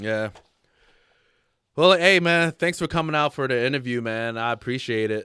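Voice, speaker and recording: On a very clean recording with a silent background, a man with a medium pitch and lively intonation speaks at a moderate pace, leaving long, frequent pauses. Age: 30s. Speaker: podcast host, interviewer. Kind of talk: casual interview.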